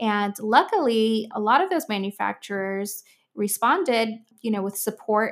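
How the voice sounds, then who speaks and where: With a normal speaking voice, a woman talks at a fairly slow pace and a fairly high pitch. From Miami, Florida. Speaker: music producer and nonprofit founder. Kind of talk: interview conversation.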